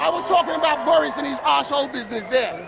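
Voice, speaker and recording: Over crowd noise, a man shouts loudly at a very fast pace in an animated, extremely high-pitched voice. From London, Battersea, West Indian family. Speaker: local resident. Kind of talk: heated street argument.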